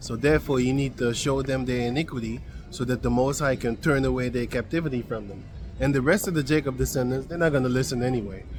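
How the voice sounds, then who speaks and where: The speech comes at a very fast pace with a non-native accent and fairly even intonation. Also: man, medium pitch for a man. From Suriname. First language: not English. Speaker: Bible teacher. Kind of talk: bible study talk. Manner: halting; casual.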